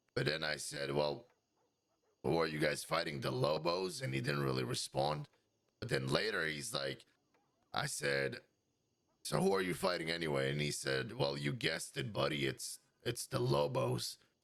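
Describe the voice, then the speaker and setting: Putting on a raspy character voice with a very deep, low pitch, a man talks at a moderate pace with long, frequent pauses. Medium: game stream. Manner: casual, rambling.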